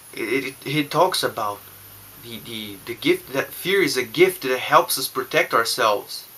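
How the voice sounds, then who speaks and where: Speaking at a fairly slow pace with a non-native accent, a man makes big swings in loudness. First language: not English. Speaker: YouTuber on narcissistic abuse recovery. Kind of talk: personal vlog monologue. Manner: halting, many restarts and fillers.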